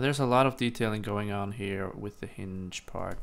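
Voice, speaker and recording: A man mumbles his words. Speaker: 3D modeling tutorial maker. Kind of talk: tutorial. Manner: mumbling; halting.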